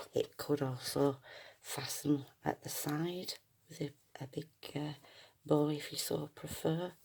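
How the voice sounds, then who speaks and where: Soft-spoken and fairly slow, a woman talks in a very deep, low voice with a dark, mellow tone, monotone, flat intonation, and long, frequent pauses. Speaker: junk journal maker and seller. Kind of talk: product showcase tutorial. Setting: at home, early morning. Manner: quiet, soft-spoken; hesitant, many fillers.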